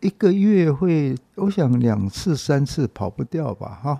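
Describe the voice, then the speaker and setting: A man's voice sits fairly high in pitch and carries a dark, mellow tone. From Taiwan, Taipei (Dadaocheng). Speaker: publisher and bookstore owner. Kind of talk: interview, reminiscing.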